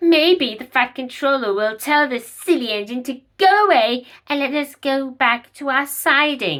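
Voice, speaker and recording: In a put-on character voice, a female-sounding speaker uses a high pitch at a moderate pace. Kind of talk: children's railway story. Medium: read story. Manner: prim, snooty, whining.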